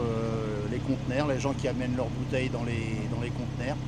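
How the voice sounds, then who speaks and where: A man's talking comes through noticeable background noise. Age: 70s. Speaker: retired businessman. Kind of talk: street interview.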